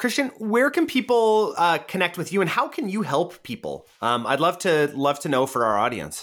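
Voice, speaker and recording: This man talks at a moderate tempo, captured on a very clean recording with a silent background. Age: 30s. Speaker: podcast host. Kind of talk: interview. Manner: animated.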